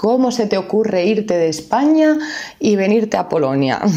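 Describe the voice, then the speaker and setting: With an Asturian accent and lively intonation, a woman of medium pitch speaks at a fairly slow pace over noticeable background noise. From Asturias, northern Spain. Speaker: language teacher. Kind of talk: podcast monologue. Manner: clear.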